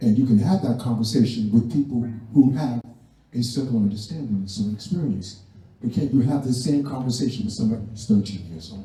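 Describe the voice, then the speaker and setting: A man talks at a very fast pace, his pitch medium with ordinary variation. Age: 70s. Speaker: community elder. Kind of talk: community discussion remarks. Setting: community center event.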